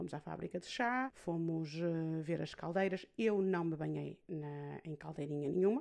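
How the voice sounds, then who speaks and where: A woman speaks in a European Portuguese accent. Her tone is dark and mellow, with ordinary pitch variation. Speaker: podcast host. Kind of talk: personal monologue podcast. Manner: hesitant with fillers.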